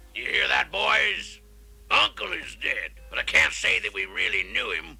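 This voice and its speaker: A man uses a cartoonish character voice, raspy and very deep and low in pitch, at a moderate pace. Light background noise sits behind him. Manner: angry, explosive.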